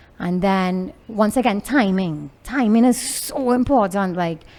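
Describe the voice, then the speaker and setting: Loudly, a woman speaks with a Trinidadian accent. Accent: Trinidadian, picked up in last ten years. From Venezuela. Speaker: entrepreneur, clothing designer. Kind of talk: interview.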